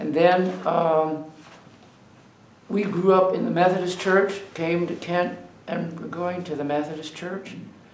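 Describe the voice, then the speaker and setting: Speaking at a very slow pace, a man with a high pitch is heard with audible room echo and noticeable background noise. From Ohio, US Midwest. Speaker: oral history interviewee. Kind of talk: oral history interview. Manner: halting.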